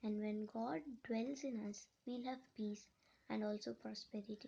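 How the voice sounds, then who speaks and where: A woman with a Telugu accent speaks at a fairly slow pace, her dark, mellow tone carrying ordinary pitch variation. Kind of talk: personal testimony. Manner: halting, many repetitions and restarts.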